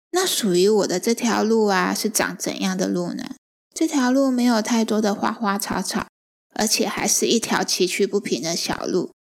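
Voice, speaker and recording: Someone speaks at a moderate pace with a Taiwanese accent. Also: woman, fairly high pitch for a woman, ordinary pitch variation. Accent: Taiwanese Mandarin. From Taiwan, Chiayi. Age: 40s. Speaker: podcast host and writer, stay-at-home mother. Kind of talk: book-sharing podcast monologue.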